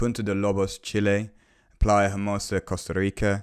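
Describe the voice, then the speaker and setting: This man has a British accent and a fairly low pitch. The recording is very clean, with a silent background. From UK. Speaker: podcast host, property investment. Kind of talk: podcast conversation.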